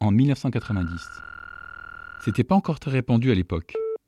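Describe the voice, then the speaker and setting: A man's voice is dark and mellow, somewhat breathy, with very wide pitch swings. The sound is dry and close, with no echo. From northern France, Château-Thierry area. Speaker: podcast host. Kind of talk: scripted narration.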